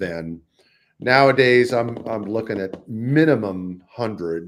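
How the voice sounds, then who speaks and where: On a very clean recording with a silent background, a man talks at a very slow pace. His pitch is fairly low with ordinary variation, and he speaks with an American accent. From US, East Coast and California. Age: 60s. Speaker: jazz trumpeter and educator. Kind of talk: interview. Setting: live stream.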